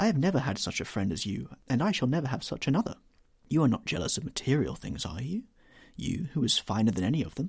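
In this recording, a person is reading aloud in a natural voice.

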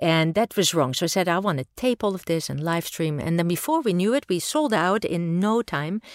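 In a very clean recording with a silent background and a dry, close sound without echo, a woman with a Dutch accent talks fairly quickly in a fairly low voice, her intonation lively and her speech hardly pausing. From Netherlands. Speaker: engineering professor. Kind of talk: interview.

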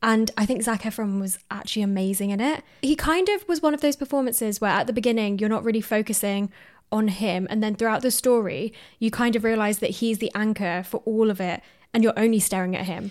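A woman's fairly high voice at a fairly quick pace, a normal speaking voice with ordinary pitch variation. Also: very clean recording, silent background. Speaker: podcast host. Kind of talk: casual chat.

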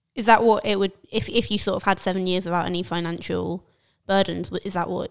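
In a very clean recording with a silent background, a woman talks very fast at a medium pitch, her intonation monotone and flat, with vocal fry. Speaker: podcast host. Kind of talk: casual chat. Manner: playful, joking.

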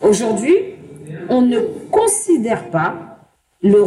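A woman speaks with audible room echo. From Paris banlieue, Seine-Saint-Denis. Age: 30s. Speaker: interview guest sharing life story. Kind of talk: personal testimony. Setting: bar.

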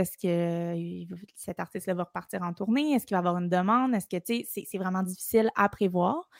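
A woman with a Quebec accent speaks at a moderate pace. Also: dry, close sound with no echo. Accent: Québécois French. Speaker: drummer and content creator. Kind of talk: casual chat. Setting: video call.

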